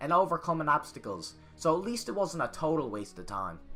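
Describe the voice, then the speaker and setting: A man speaks in a Newfoundland accent with music in the background. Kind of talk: comedic history narration. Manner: crude, profane, boisterous.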